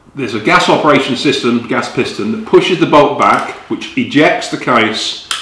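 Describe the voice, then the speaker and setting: Audible room echo and noticeable background noise accompany a man talking at a moderate pace. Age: 60s. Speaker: magazine editor and gun reviewer. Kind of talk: product review. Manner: casual with frequent fillers and hesitations.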